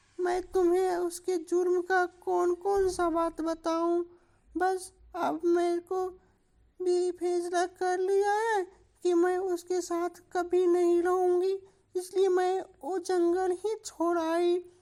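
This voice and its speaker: In a cartoonish character voice, a woman speaks at an extremely high pitch, very slowly and in a flat monotone. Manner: wheedling, gossipy.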